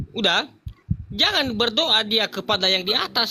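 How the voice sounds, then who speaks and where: A man is speaking here. He moves at a fairly quick pace. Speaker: religious debater. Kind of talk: religious debate. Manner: calm.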